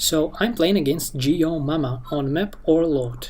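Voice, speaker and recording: Speaking fairly slowly with a non-native accent, the man has a fairly high-pitched voice. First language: not English. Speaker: gamer commentating own match. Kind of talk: live game commentary. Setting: screen recording. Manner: halting.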